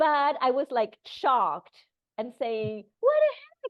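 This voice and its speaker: A woman speaks with lively intonation. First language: not English. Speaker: breathwork teacher. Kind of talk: casual chat.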